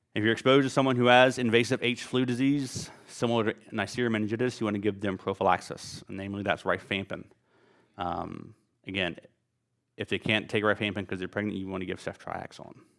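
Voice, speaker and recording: A man with a Southern US accent, very fast, with fairly even intonation. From US South, Louisiana. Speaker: physician lecturer. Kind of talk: lecture. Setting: stage with audience. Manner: casual, many filler words.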